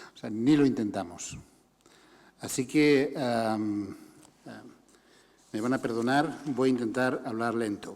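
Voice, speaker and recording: Amid audible room echo, a man speaks very slowly at medium pitch with ordinary pitch variation, big swings in loudness, and long, frequent pauses. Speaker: human rights organization director. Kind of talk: conference talk.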